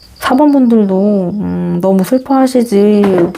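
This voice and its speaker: A woman speaks at a very slow pace with a medium pitch and ordinary pitch variation, over noticeable background noise. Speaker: tarot reader. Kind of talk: closing greeting to viewers; tarot reading to camera. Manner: slight stutter.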